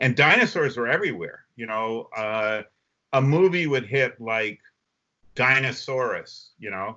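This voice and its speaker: With big swings in loudness, a man talks at a medium pitch using ordinary pitch variation. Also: fairly slow pace. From Vermont, US. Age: 60s. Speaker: comic book artist. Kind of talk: casual chat. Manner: animated.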